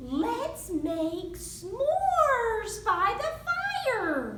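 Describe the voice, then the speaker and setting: A woman uses a squeaky, put-on character voice. There is audible echo. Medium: read story.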